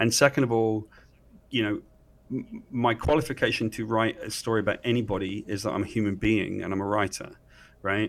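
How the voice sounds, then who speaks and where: A man with an English accent speaks at a fairly low pitch with fairly even intonation, leaving long, frequent pauses, on a very clean recording with a silent background. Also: fairly quick pace. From England. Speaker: comic book writer. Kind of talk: interview.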